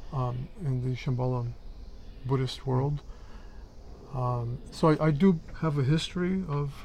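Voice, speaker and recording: A man with a fairly high, somewhat breathy voice and ordinary pitch variation talks at a fairly slow pace, leaving long, frequent pauses. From Mexico. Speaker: Buddhist practitioner, podcast co-host. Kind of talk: casual chat.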